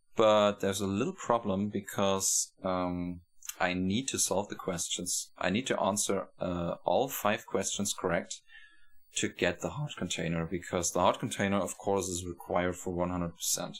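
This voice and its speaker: A man with a German accent, very deep and low in pitch, at a moderate pace with fairly even intonation. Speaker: video game streamer. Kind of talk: live gameplay commentary. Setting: live stream. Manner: halting, self-correcting.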